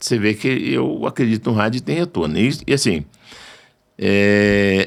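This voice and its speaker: The recording is very clean, with a silent background. A man talks at a fairly slow pace. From Brazil, northern Minas Gerais. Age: 60s. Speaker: radio station owner and journalist. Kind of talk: interview conversation.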